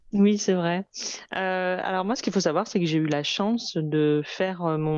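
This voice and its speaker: A woman's fairly low voice at a moderate pace, fairly even in intonation, against a quiet background. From France, Lyon. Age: 30s. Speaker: fashion entrepreneur. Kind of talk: interview testimony. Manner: hesitant, many fillers.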